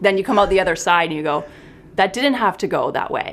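A woman talks at a very fast pace with a Canadian accent. Her pitch is medium and her intonation lively. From small town Canada. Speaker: clinical psychologist. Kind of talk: casual interview.

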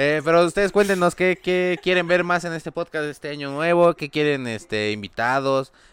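In a normal speaking voice, a man talks at a moderate pace in a fairly high pitch with ordinary pitch variation and hardly any pauses, in a very clean recording with a silent background. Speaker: podcast co-host. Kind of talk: casual comedic chat.

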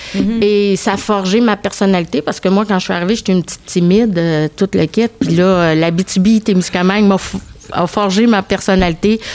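A woman talks with hardly any pauses. Noticeable background noise runs behind her. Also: medium pitch for a woman, moderate pace. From Quebec (Thetford Mines), arrived from Egypt at 5. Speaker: tourism agency director. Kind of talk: casual chat.

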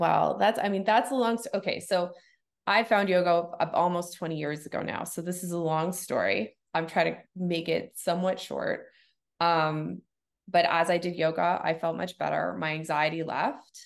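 Against a quiet background, a woman with a plain, everyday voice speaks at a moderate pace in a fairly low pitch with ordinary pitch variation. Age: 40s. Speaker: yoga studio owner. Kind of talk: casual interview chat.

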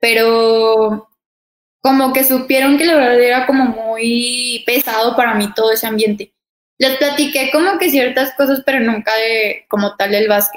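Her voice high in pitch, a woman speaks at a fairly slow pace with ordinary pitch variation and very even loudness. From Mexico, Torreón (Comarca Lagunera). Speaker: professional basketball player. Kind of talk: interview.

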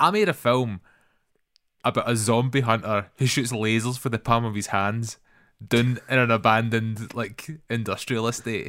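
With a Scottish accent, a man speaks at a medium pitch and moderate pace. His intonation stays fairly even in a very clean recording with a silent background. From Scotland. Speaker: filmmaker and podcast co-host. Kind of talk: casual chat.

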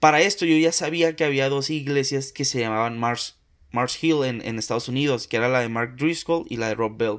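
A man speaks in a normal speaking voice at medium pitch with ordinary pitch variation and a moderate pace, on a very clean recording with a silent background. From Mexico, Tampico, Tamaulipas. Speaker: podcaster. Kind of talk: casual chat.

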